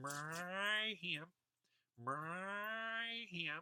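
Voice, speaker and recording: A put-on character voice at a middle pitch. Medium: read story. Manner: sly, singsong.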